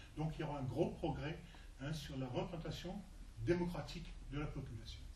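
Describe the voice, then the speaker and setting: A man talks at a fairly high pitch and moderate pace with fairly even intonation. Noticeable background noise and audible room echo surround him. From southern France (Var). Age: 60s. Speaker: local election candidate. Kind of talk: interview.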